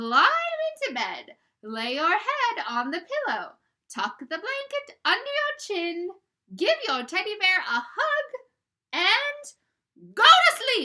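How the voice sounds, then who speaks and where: In a put-on character voice, a woman speaks fairly slowly at an extremely high pitch, her voice swinging very widely up and down. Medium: read story. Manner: affectionate, coaxing.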